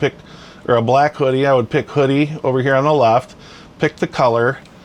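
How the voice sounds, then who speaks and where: Noticeable background noise sits behind a man's voice. He has a medium pitch and a fairly quick pace. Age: 60s. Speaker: hobbyist YouTuber reviewing a printer. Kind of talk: casual product demo. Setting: home workshop. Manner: hesitant, many fillers.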